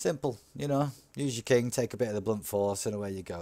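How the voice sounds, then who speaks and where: Here a man talks with a Yorkshire accent at a fairly quick pace, his intonation lively. The recording is very clean with a silent background. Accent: northern English (Yorkshire). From Yorkshire, northern England. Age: 40s. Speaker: gaming youtuber. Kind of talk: gameplay commentary. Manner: casual, animated.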